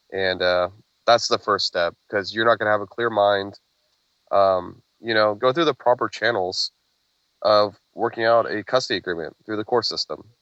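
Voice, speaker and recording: A man speaks at a moderate pace with an American accent. His pitch is fairly low and his intonation fairly even. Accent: Oklahoma accent, comes out at times. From Oklahoma. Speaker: single father, podcast guest. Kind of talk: interview.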